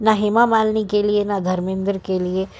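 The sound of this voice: Her tone slightly mellow, a woman speaks with fairly even intonation.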